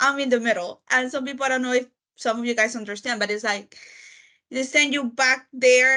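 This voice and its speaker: A woman's raised, projected voice comes at a high pitch and fairly quick pace, her tone bright and sharp. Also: fairly even intonation. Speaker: discussion participant. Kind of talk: casual group discussion.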